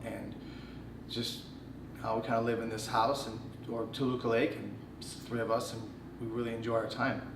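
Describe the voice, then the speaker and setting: Speaking at a moderate pace with an American accent, a man is heard with audible room echo and noticeable background noise. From Chicago, Illinois. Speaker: choreographer. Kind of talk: casual chat.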